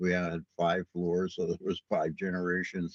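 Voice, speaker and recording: A man with a New York accent, very deep and low in pitch, at a moderate pace, in a dry, close sound with no echo. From New York City, Brooklyn. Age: 70s. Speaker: podcast host. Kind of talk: casual monologue. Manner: casual, rambling with fillers.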